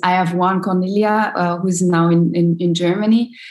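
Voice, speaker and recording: A somewhat breathy woman with a French accent, at a fairly slow pace. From Ivory Coast (Abidjan). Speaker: social entrepreneur. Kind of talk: interview. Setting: video call. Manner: halting.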